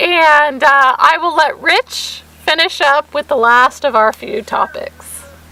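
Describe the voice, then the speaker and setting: At a very slow pace, a woman speaks in a raised, projected voice with an extremely high pitch and very wide pitch swings. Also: hardly any pauses. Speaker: vlogger. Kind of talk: casual chat.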